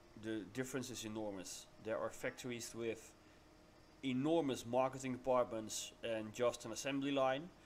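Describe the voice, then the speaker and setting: Here a man talks with a Dutch accent. His pitch variation is ordinary. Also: medium pitch for a man, moderate pace. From Netherlands. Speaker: CNC machine customer, business owner. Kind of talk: casual video commentary. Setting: voiceover recorded while watching footage. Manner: halting, many fillers.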